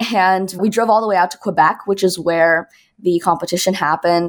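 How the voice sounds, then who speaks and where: A woman speaks at medium pitch in a normal speaking voice. She has a Canadian accent. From Toronto, Canada. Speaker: music student and artist. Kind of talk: interview.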